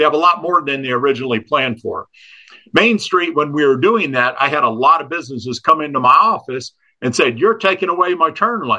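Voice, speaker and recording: In a normal speaking voice, a man talks at a fairly quick pace with lively intonation and a fairly high pitch. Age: 60s. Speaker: public utility board chair and local businessman. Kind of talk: interview. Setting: studio.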